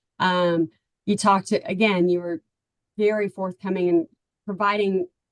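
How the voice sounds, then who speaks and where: A woman with a Texan accent and fairly even intonation, in a dry, close sound with no echo. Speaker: parent of a recruited athlete. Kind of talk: testimonial interview.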